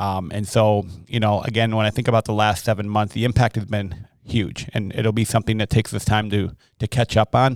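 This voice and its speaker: A man with an American accent, an ordinary speaking voice, in a very clean, dry, close recording with no echo and a silent background. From Wisconsin (Milwaukee). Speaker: elementary school principal. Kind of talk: casual interview.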